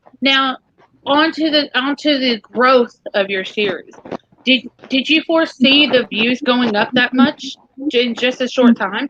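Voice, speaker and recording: With a strong Southern US accent, the speaker talks at a fairly slow pace with ordinary pitch variation, the sound dry and close with no echo. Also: woman, high pitch for a woman. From US South, Tennessee. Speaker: live stream host. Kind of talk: live stream interview. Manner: animated.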